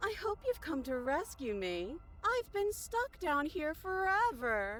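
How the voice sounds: The speaker goes at a fairly slow pace with very wide pitch swings, and clear background noise runs underneath. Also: woman, extremely high pitch for a woman.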